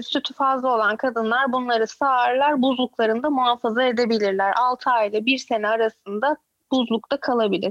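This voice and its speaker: A woman talks at a moderate pace with a high pitch and ordinary pitch variation. The sound is dry and close, with no echo. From Turkey, Izmir. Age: 30s. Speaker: YouTuber and mother living in Canada. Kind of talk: casual chat. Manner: outspoken.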